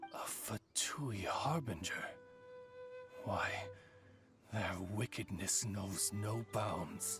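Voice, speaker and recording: A man uses a put-on character voice, fairly low in pitch, at a very slow pace with long, frequent pauses. Clear music plays in the background. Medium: video game. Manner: formal, courtly.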